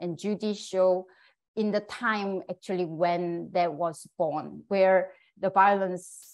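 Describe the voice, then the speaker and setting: A woman speaks with a Korean accent at a medium pitch. Her pace is very slow, and the background is quiet. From South Korea. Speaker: puppetry scholar, assistant professor. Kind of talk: lecture talk.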